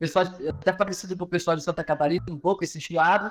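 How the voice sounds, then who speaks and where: A man is speaking. His pitch is high. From northern Brazil, Pará. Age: 30s. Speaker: professor and business consultant. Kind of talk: podcast interview. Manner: casual, with hesitations and repetitions.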